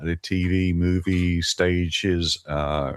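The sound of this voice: This man speaks at a low pitch with little pitch movement.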